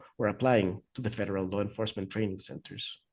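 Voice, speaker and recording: Talking at a very fast pace, a man with a Spanish accent sounds somewhat breathy, with ordinary pitch variation. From Mexico City. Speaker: author. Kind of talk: reading aloud. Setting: video call.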